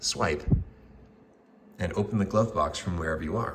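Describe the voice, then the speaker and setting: A man's very deep, low voice moves at a moderate pace, with noticeable background noise in the recording. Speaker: UI/UX designer. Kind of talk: product concept demo narration.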